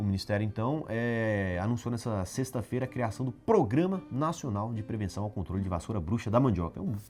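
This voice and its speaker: A man talks at a fairly quick pace with hardly any pauses, at a medium pitch with ordinary variation. Music plays in the background. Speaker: agribusiness news show host. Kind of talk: casual news commentary. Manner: informal, chatty.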